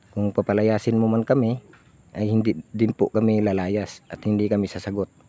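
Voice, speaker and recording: Monotone, flat intonation from a man with a dark, mellow tone, at a fairly quick pace, in a dry, close sound with no echo. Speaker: vlogger. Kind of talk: casual vlog talk. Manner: loud.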